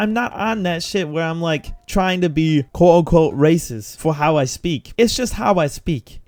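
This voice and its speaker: The speaker talks with a New York accent. There are hardly any pauses. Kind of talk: street, rough.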